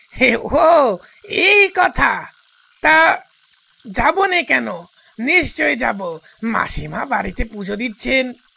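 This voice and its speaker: In a put-on character voice, a man speaks at a fairly slow pace with a raised, projected voice, an extremely high pitch and very wide pitch swings. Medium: audio drama. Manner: laughing, patronizing, hearty.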